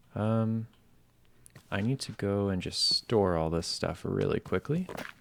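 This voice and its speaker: A soft-spoken man with a calm tone, fairly low pitch and ordinary pitch variation, at a fairly slow pace. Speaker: gaming commentator. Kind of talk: relaxing gameplay commentary. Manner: soft-spoken, calm.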